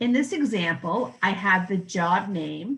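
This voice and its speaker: With a Canadian accent, a woman uses an ordinary speaking voice at a medium pitch with lively intonation. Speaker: software trainer. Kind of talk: software tutorial demo. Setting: virtual conference presentation. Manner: clear, methodical.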